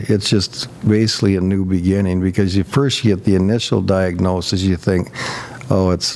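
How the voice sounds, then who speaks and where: Noticeable background noise sits under a voice with fairly even intonation, very even loudness, and a moderate pace. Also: man. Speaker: guest sharing life story. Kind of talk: interview testimony.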